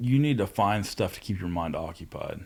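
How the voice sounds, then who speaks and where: At a moderate pace and with very wide pitch swings, a man talks with an American accent in a very clean recording with a silent background. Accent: hillbilly. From Southeast Ohio. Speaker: tradesman in addiction recovery. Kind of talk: casual chat.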